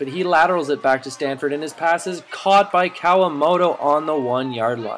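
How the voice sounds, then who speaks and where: Against noticeable background noise, a man speaks at a moderate pace in a fairly high pitch with ordinary pitch variation. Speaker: sports narrator. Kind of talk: sports highlight narration, recapping game play-by-play. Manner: brisk, energetic play-by-play delivery.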